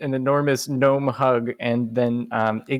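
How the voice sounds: Fairly even intonation in a natural reading voice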